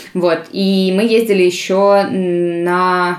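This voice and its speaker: A woman speaks at a fairly low pitch. Her intonation stays fairly even. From Russia, St Petersburg. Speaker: linguist and olympiad organizer. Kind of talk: interview.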